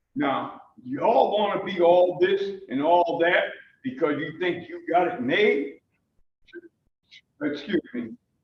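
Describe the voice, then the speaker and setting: A man talks with lively intonation, and audible room echo carries his voice. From New Haven, Connecticut. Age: 70s. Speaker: member of the public at a council hearing. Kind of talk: public testimony. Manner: animated.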